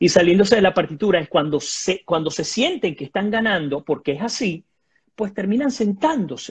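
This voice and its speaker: Over a quiet background, a man with a high pitch speaks at a moderate pace with lively intonation. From Venezuela. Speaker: journalist and political commentator; journalist, political commentator. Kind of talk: political analysis interview. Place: home room. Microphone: video call.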